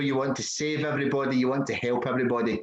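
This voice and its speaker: With a Scottish accent, a man speaks in fairly even intonation. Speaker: podcast host. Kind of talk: casual conversation.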